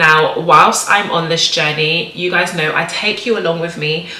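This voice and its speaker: A woman at a fairly low pitch and moderate pace, amid noticeable background noise. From Jamaica. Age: 20s. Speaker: lifestyle YouTuber. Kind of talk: casual talk to camera, channel intro.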